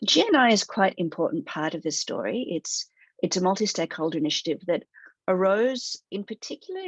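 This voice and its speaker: A woman with an Australian accent is heard in a dry, close sound with no echo. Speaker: human rights director at a tech company. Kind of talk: webinar presentation. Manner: halting, with frequent fillers.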